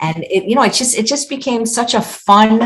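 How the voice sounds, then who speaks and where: A woman's voice comes through somewhat breathy. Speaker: chef and weight loss author. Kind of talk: interview. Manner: casual, with many false starts.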